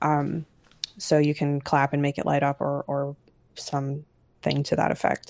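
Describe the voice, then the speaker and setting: The speaker is a woman. Her voice has a dark, mellow tone. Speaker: library maintainer. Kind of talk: casual meeting update.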